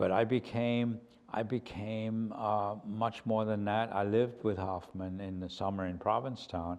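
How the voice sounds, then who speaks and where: A man's fairly low voice at a moderate pace, in a monotone, flat intonation. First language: German. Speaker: painter. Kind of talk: interview. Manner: halting, with many fillers and repeats.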